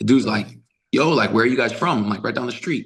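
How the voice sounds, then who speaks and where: The delivery has an animated tone and lively intonation. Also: man. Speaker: flag football coach and trainer. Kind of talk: casual chat.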